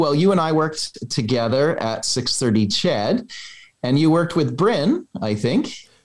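With a Canadian accent, a man speaks in a normal speaking voice at a fairly slow pace with lively intonation. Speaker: real estate agent. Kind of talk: casual chat.

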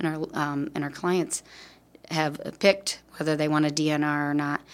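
Speaking in a Midwestern US accent, a woman keeps a moderate pace. Her pitch is very deep and low. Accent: US Midwest. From Davenport, Iowa. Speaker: hospice volunteer coordinator. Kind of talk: interview.

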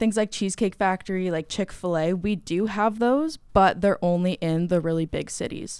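On a very clean recording with a silent background, a woman with a Canadian accent speaks at a moderate pace. She has an ordinary speaking voice with medium pitch and ordinary pitch variation. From Canada, Guelph, Ontario. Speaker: student. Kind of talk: casual chat.

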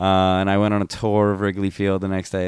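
With an American accent, a man speaks at a fairly quick pace. His pitch is very deep and low. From New Jersey. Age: 20s. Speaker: podcast co-host. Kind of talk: casual chat.

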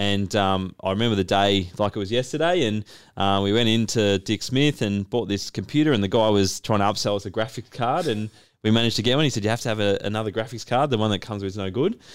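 Very fast and in an Australian accent, a man with a fairly low voice talks on a very clean recording with a silent background. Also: ordinary pitch variation. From Australia, Melbourne. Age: 30s. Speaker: business owner and podcast host. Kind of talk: casual chat.

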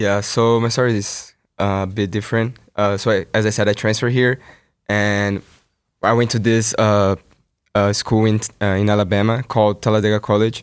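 A man speaks at a moderate pace with a Brazilian accent, his pitch fairly low and his intonation flat and monotone. The recording is very clean, with a silent background. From Brazil (São Paulo). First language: Portuguese. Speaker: student athlete. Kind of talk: interview.

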